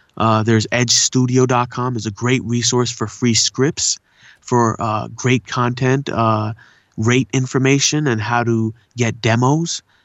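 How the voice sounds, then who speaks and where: A man's medium-pitched voice, fairly slow, in a monotone, flat intonation. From Southern California (La Puente and Pomona area), born in India. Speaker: voice actor and poet. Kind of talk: casual interview. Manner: laid-back slangy speech.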